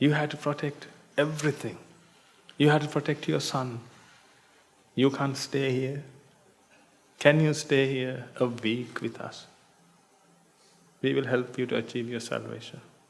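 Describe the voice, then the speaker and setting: A man with a non-native accent speaks at a medium pitch with vocal fry and monotone, flat intonation. His pace is fairly slow, broken by long, frequent pauses. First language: not English. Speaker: Buddhist monk teacher. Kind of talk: dharma talk. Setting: meditation retreat hall with audience.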